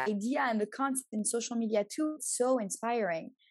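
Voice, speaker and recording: Here is a woman with an ordinary speaking voice. Her pace is moderate and her pitch variation ordinary. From Montreal, Canada. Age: 20s. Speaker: social media agency owner. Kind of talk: interview.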